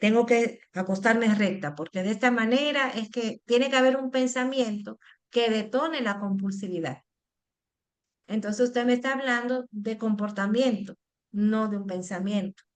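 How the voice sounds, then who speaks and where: This is an ordinary speaking voice. It moves at a moderate pace with ordinary pitch variation. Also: woman, fairly high pitch for a woman. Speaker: psychologist. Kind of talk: educational Q&A session.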